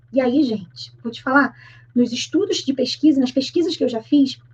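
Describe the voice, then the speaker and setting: High-pitched female speech with ordinary pitch variation. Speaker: Portuguese teacher. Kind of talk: online grammar lesson. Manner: fast; informal, colloquial.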